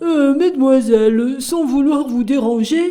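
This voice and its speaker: A high-pitched, put-on character voice speaks. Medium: read story. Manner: courteous, gentle.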